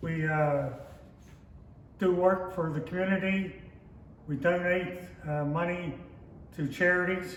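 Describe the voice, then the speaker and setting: Over noticeable background noise and audible room echo, a man with a Pittsburgh accent and a high pitch talks at a fairly slow pace with fairly even intonation and long, frequent pauses. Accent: western Pennsylvania (Pittsburgh). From western Pennsylvania (Pittsburgh north hills). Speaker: lodge member, oral history interviewee. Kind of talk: oral history interview.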